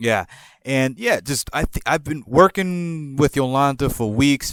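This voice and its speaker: At a very slow pace, a man with a slight New York accent speaks in a dry, close sound with no echo on a very clean recording with a silent background. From New Jersey / New York area, born in Puerto Rico. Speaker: podcast storyteller. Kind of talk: casual storytelling monologue.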